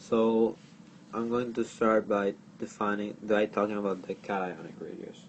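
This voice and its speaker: A man speaks with a strong non-native accent at a moderate pace. His voice is fairly low and his intonation fairly even. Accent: thick foreign. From outside the US. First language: not English. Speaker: chemistry tutor. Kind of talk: tutorial. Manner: halting.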